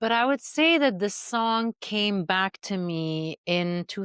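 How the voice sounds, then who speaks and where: Very slow speech in an Arabic accent, with ordinary pitch variation and a dry, close sound with no echo over a quiet background. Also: woman. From Syria. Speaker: movement artist and coach. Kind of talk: podcast interview.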